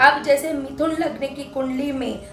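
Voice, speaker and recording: Against music in the background and audible room echo, a woman talks at a fairly slow pace in a high pitch. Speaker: astrologer. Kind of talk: tutorial.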